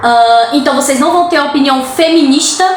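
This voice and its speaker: Room echo is audible around this woman. Her tone is animated. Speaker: vlogger. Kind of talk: casual vlog monologue.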